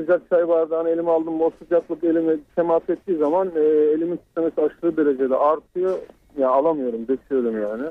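In a normal speaking voice, a man with a fairly high pitch talks with fairly even intonation. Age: 30s. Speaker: radio caller. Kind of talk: call-in question. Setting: phone call.

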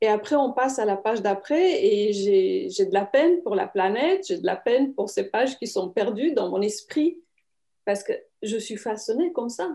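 In a Romanian accent, a woman speaks with a dark, mellow tone and fairly high pitch. Her pace is moderate and her pitch swings very widely. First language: Romanian (speaking French). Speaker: writer and publisher. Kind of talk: interview. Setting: video call.

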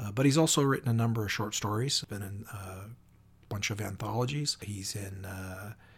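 Over a very clean recording with a silent background, a somewhat breathy man speaks at a fairly quick pace. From US Pacific Northwest. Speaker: podcast host, crime author. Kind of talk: casual interview.

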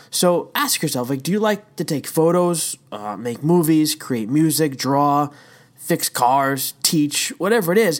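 On a very clean recording with a silent background, a man speaks fairly slowly at a fairly high pitch in an unremarkable speaking voice. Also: lively intonation. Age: 30s. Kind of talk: devotional talk. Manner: casual with frequent fillers.

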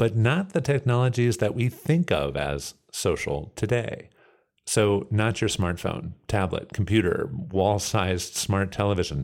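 A man with an American accent speaks at a fairly slow pace in a fairly low pitch with vocal fry. His pitch swings very widely on a very clean recording with a silent background. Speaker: podcast host. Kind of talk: scripted narration.

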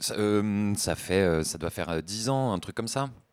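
This man is heard on a very clean recording with a completely silent background. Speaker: graphic designer, music fan. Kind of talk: casual chat. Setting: studio.

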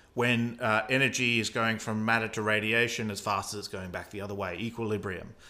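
With an Australian accent, a man speaks fairly quickly in a fairly low, bright, sharp voice, his intonation monotone and flat and hardly any pauses between words. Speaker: astronomy podcast host. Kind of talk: explanatory conversation about cosmology.

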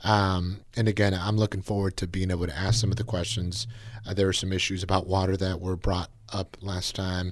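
This man has a very deep, low pitch and an American accent. He talks at a fairly quick pace in a monotone, flat intonation. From Napa, California. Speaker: county politician. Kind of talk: interview.

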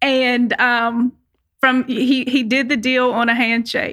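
A woman with an American accent talks in a high voice with a bright, sharp tone. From Virginia (Lynchburg). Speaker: pet resort owner. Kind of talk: interview.

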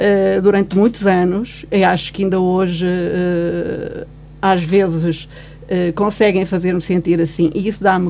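A woman at a fairly low pitch, fairly slow and monotone with flat intonation, over noticeable background noise. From Guarda, Portugal (born in Angola). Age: 50s. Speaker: commentator. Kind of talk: radio panel discussion. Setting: radio studio.

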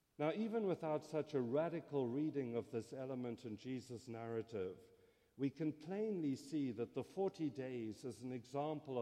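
A man with a South African accent speaks at a medium pitch in a dark, mellow tone. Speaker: theology scholar. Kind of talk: lecture. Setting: stage with audience.

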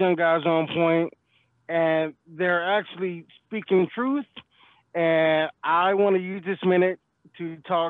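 Long, frequent pauses mark a man's very slow speech in a high pitch with fairly even intonation and an American accent. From Detroit, Michigan. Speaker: truck driver, caller. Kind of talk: recorded voice message rant.

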